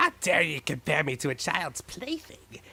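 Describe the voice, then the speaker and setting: It's a put-on character voice. The delivery runs at a moderate pace. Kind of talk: villainous bombast. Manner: theatrical, mischievous, indignant.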